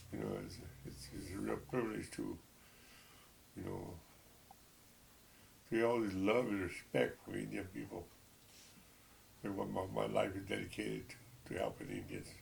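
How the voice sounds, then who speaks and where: A man talks at a moderate pace, leaving long, frequent pauses. Audible room echo surrounds his voice. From Texas. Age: 70s. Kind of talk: personal testimony. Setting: at home. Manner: halting.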